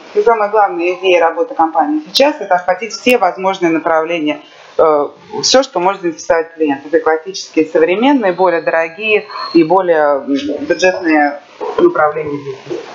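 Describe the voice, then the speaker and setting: A woman talks at a very fast pace with lively intonation and a fairly low pitch. Noticeable background noise is present. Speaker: interpreter. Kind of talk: consecutive interpretation. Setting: live event with audience. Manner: loud.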